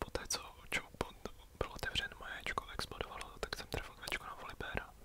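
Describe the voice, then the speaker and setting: A man whispering at a fairly quick pace amid noticeable background noise. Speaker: ASMR gaming youtuber. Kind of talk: whispered gameplay commentary. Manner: halting.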